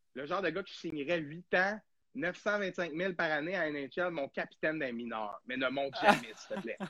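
A man with a Quebec accent, fairly high in pitch, bright and sharp in tone, with lively intonation and a moderate pace. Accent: Québécois French. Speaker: hockey podcast host. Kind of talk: casual chat. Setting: live stream.

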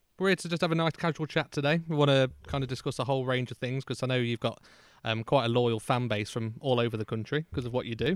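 Someone with an English accent talks at a very fast pace with ordinary pitch variation. The recording is very clean, dry and close, with no echo and a silent background. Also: man, medium pitch for a man. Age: 20s. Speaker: podcast host. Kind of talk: casual chat. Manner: hesitant, lots of fillers.

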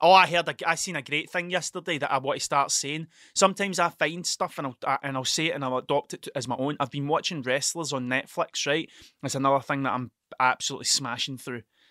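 A very fast delivery in a Scottish accent with ordinary pitch variation, dry, close sound with no echo, on a very clean recording with a silent background. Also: man. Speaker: podcast host. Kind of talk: casual solo monologue, rambling. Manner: stuttering, halting, self-interrupting; profane, self-deprecating.

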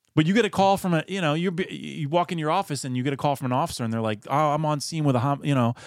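This man speaks in a Philadelphia accent. His pace is very fast. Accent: Philadelphia-area American. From Pennsylvania, Philadelphia area (Chadds Ford). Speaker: personal injury attorney. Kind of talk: casual interview.

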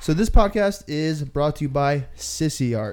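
An unremarkable speaking voice from a man, fairly high in pitch with lively intonation, in a very clean recording with a silent background. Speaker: podcast host. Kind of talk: casual chat.

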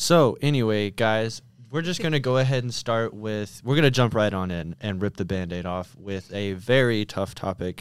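An ordinary speaking voice belongs to a man with a fairly low pitch and lively intonation. He keeps a moderate pace with hardly any pauses, in a very clean recording with a silent background. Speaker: student, podcast guest. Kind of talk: casual chat.

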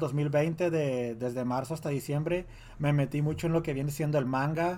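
A man's fairly high voice, dark and mellow in tone, at a moderate pace with fairly even intonation. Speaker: podcast co-host. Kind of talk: casual chat.

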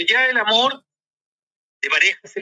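A man's raised, projected voice comes at a fairly slow pace, with a dry, close sound and no echo. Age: 50s. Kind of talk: casual chat.

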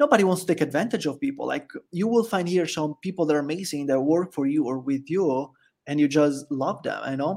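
Speaking at a fairly quick pace with an Italian accent, a man has a fairly high pitch and ordinary pitch variation, heard in a very clean recording with a silent background. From Italy. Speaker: expat living in El Salvador. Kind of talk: casual interview chat.

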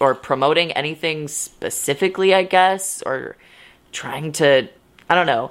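A woman speaks with a very deep, low pitch. Her pitch rises and falls in an ordinary way. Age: 20s. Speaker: solo podcast host. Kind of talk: solo podcast monologue. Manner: casual, filler-heavy.

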